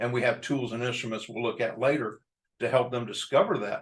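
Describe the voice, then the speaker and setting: With an American accent, a man speaks at medium pitch in a somewhat breathy voice. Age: 60s. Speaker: addiction treatment professional. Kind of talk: lecture. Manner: hesitant with fillers.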